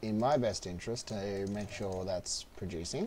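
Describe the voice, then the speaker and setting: At a fairly slow pace, a man talks in a somewhat breathy, fairly low voice. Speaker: gaming streamer. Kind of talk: live gameplay commentary.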